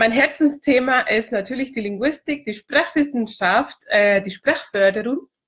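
With lively intonation, a woman speaks at a moderate pace in a fairly high voice. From Chile. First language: Spanish (speaking German). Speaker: multilingualism consultant. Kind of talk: video self-introduction. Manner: hesitant, many fillers.

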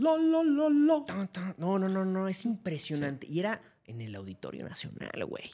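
Speech comes at a fairly slow pace. The recording is very clean, with a silent background. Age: 30s. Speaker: music critic and content creator. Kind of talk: casual chat.

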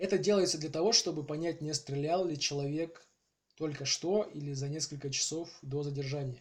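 Very clean recording with a silent background of a man's fairly high-pitched, somewhat breathy voice at a moderate pace with fairly even intonation. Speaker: podcast host. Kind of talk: scripted narration. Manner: halting.

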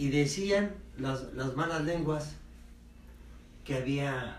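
Speech at a very slow pace with ordinary pitch variation comes through audible room echo and noticeable background noise. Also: man. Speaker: family member guest. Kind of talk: storytelling.

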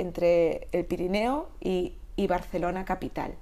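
At a fairly slow pace, a woman of medium pitch talks in a normal speaking voice. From Catalonia, Spain. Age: 50s. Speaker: Pilates instructor. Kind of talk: interview.

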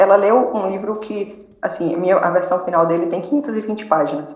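A woman of medium pitch, with audible room echo and noticeable background noise. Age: 30s. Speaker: novelist. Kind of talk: interview.

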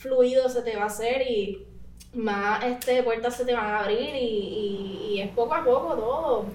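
A high-pitched woman at a fairly slow pace, with ordinary pitch variation, audible room echo and noticeable background noise. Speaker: artist and content creator. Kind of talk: casual interview. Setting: studio.

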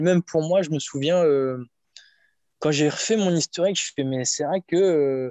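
This man talks fairly slowly in a high voice, with ordinary pitch variation. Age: 30s. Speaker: strength and conditioning coach. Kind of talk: casual interview. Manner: hesitant, many fillers.

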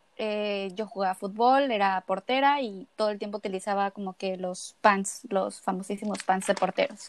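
The speaker is a woman with a medium pitch. Her intonation stays fairly even. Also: moderate pace. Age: 20s. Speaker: eating disorder awareness advocate, law student. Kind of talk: interview, personal testimony.

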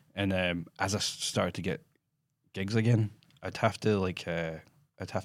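Delivered at a moderate pace, the speech has monotone, flat intonation. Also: man. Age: 30s. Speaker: screenwriter and director. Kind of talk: casual chat. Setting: studio.

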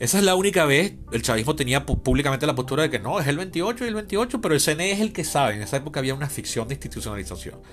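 A man's fairly high voice racing at a very fast pace with very wide pitch swings, hardly any pauses, and noticeable background noise. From Venezuela, Caracas. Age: 40s. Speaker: podcast host, political scientist. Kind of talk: solo podcast monologue, political commentary.

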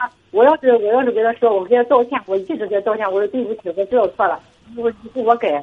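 A woman talks at a fairly quick pace. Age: 40s. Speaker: caller. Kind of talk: call-in advice chat. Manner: halting.

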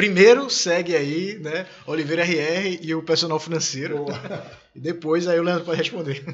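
There is noticeable background noise behind this man. His high-pitched voice keeps a fairly even intonation at a moderate pace. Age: 30s. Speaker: podcast host. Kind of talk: casual interview.

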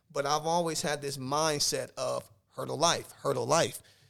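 A plain, everyday voice from a man with an American accent, fairly high in pitch, moderate in pace, with fairly even intonation, on a very clean recording with a silent background. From Omaha, Nebraska. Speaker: life coach and educator. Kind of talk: casual interview. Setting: studio.

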